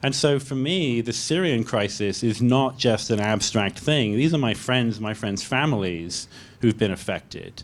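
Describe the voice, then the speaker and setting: This man speaks with a British accent at a fairly slow pace. His pitch variation is ordinary. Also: medium pitch for a man, hardly any pauses. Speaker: pediatrician. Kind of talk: panel discussion. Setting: public library event with audience.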